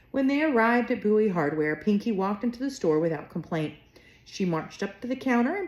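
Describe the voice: Lively intonation in plain reading aloud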